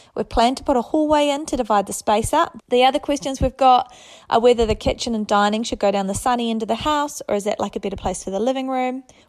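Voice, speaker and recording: Very fast delivery with ordinary pitch variation, in a New Zealand accent. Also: woman. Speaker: listener sending a question. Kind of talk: recorded voice message.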